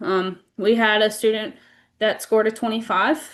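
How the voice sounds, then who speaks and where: A woman speaks with an American accent at a fairly high pitch. Her intonation is fairly even. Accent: Southern US, stronger than usual today. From US South. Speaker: school administrator. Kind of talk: board meeting report. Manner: hesitant, many fillers.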